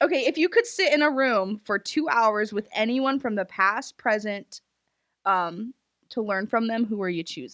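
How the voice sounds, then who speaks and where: The recording is dry and close with no echo, over a quiet background. A woman with an unremarkable speaking voice talks at a fairly high pitch and moderate pace, her intonation lively. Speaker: podcast host.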